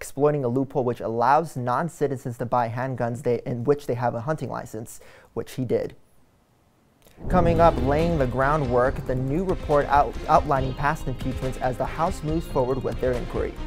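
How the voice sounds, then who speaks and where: A man with an American accent speaks at a medium pitch and a fairly quick pace. Music plays in the background, and his intonation is fairly even. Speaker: TV news anchor and reporter (intern). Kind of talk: TV news anchor and reporter delivery. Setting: studio anchor desk.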